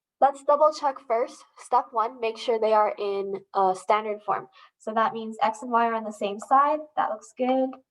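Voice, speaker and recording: A woman speaks with a normal speaking voice at a moderate pace. Her pitch is fairly high, and it varies in an ordinary way. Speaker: math teacher. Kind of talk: tutorial.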